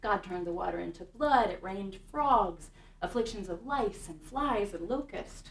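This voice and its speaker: With a normal speaking voice and an American accent, a woman of medium pitch talks at a moderate pace with lively intonation. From Kansas City, Kansas. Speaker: synagogue music director. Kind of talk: talk to an audience.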